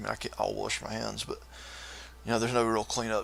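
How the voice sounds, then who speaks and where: A man with a Southern US accent talks over noticeable background noise. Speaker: live-streaming coder and graphic artist. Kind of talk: casual live-stream chat. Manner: halting, many fillers.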